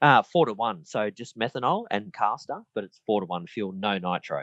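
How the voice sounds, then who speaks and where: Someone with an Australian accent talks at a fairly quick pace with hardly any pauses, ordinary pitch variation and big swings in loudness. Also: man. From Queensland, Australia. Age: 40s. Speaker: model aircraft racer. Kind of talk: interview.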